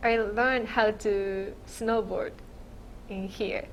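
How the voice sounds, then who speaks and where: At a very slow pace, a woman with a Japanese accent and a fairly high pitch speaks with audible room echo. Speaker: immigrant interviewee. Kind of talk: oral history interview. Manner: halting.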